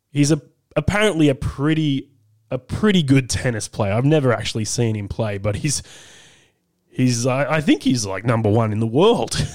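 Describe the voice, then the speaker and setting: Australian-accented man at medium pitch, with lively intonation and a moderate pace. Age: 30s. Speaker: radio talk show host. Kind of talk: talkback radio. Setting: studio.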